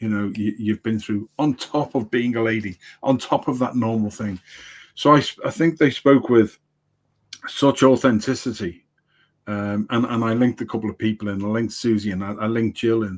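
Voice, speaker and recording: A man speaks with an English accent at a medium pitch. His intonation stays fairly even. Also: moderate pace. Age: 60s. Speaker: livestream producer and coach. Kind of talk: casual chat. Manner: halting, many repetitions.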